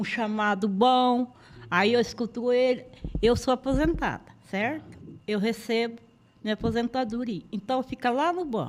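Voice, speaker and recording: A woman with a fairly high voice speaks at a fairly slow pace, using ordinary pitch variation and taking long, frequent pauses. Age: 60s. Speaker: resident of a shelter home. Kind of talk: testimony.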